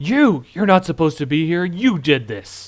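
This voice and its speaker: A man's put-on character voice, pitched high. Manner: threatening, accusing.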